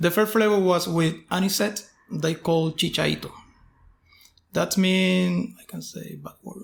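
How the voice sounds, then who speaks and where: The speaker talks at a fairly slow pace in a Puerto Rican accent, with big swings in loudness. Long, frequent pauses break up the speech. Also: man. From Puerto Rico. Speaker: distillery owner. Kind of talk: casual interview. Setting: on location at a distillery.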